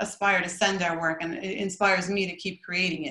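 An American accent marks this woman's fairly low, fairly even voice. She talks at a very fast pace amid audible room echo. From US, Brooklyn area; New York. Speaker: artist. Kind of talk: presentation. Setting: video call. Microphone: video call.

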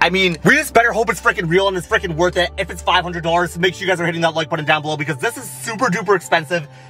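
Over faint music, a high-pitched man talks at a very fast pace with ordinary pitch variation, in a dry sound with no echo. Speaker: vlogger. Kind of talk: casual vlog chat. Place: car.

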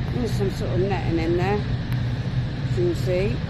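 Loud background noise fills the clip while the talking goes at a moderate pace. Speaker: urban explorer vlogger. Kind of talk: casual vlog chat. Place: street. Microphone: phone near.

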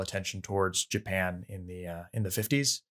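A man at a moderate pace, monotone and flat, against a quiet background. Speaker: podcast co-host. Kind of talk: casual film discussion. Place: home room.

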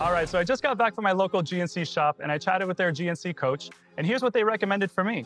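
A man talks at a very fast pace. Faint music plays in the background. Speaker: presenter. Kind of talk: sponsored product talk to camera. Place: home room.

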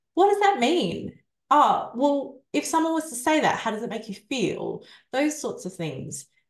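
Against a quiet background with audible room echo, a woman speaks at a fairly slow pace in a high pitch with very wide pitch swings. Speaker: survivor coach and author. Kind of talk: interview. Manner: soft-spoken. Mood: reflective, candid. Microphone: video call.

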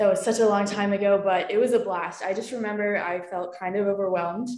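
A woman's flat, monotone voice with audible room echo. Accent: American. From Philadelphia, US. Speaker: college student athlete; panelist. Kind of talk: Q&A panel. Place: home room. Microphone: video call.

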